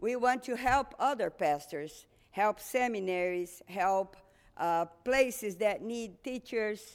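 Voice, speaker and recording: With a Portuguese accent, a woman talks at a very slow pace with ordinary pitch variation on a very clean recording with a silent background. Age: 60s. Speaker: missionary. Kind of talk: testimony.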